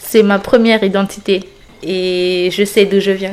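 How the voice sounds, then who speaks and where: This woman speaks at a very slow pace in a medium pitch, her intonation flat and monotone. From French Guiana. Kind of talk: interview answer.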